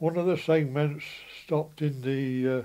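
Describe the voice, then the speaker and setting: A man with a Yorkshire accent has a dark, mellow tone, a fairly high pitch, and ordinary pitch variation. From West Riding of Yorkshire, England. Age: 80s+. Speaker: former mill worker and apprentice plater. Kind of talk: reminiscing about his life.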